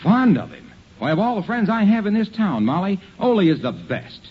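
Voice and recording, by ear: Using a put-on character voice, a man talks at a fairly quick pace, pitched high with big swings and a slightly husky edge.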